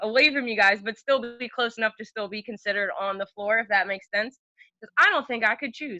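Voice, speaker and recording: An animated woman's voice in a New Jersey accent, fairly high-pitched with ordinary pitch variation, fairly quick, with big swings in loudness and music in the background. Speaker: podcast guest, former dormmate. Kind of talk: casual chat.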